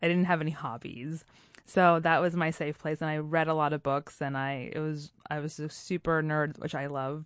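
A woman speaks at a moderate pace in a very deep, low voice. Her intonation is monotone and flat. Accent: American. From Puerto Rico and US. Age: 30s. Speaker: storytelling show founder, guest. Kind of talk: casual interview chat.

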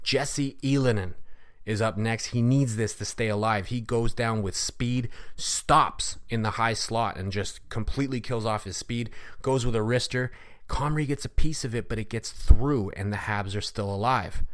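In a very clean recording with a silent background, a man speaks at a moderate pace. His medium-pitched voice carries an animated, energetic tone. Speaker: podcast host, hockey commentator. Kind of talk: recap of a hockey game, play-by-play style retelling of shootout moments; podcast hockey recap and analysis, casual. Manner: animated, building-up storytelling with energetic, punchy delivery.

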